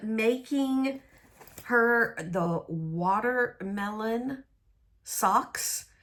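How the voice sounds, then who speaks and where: A woman's fairly high voice comes through on a very clean recording with no background sound. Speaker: crafting vlogger. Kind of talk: casual monologue vlog. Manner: slow; hesitant, many fillers.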